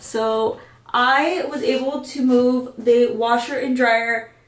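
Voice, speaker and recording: A high-pitched woman's voice with ordinary pitch variation and audible room echo. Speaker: vlogger. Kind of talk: casual vlog chat. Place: bathroom. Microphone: camera far.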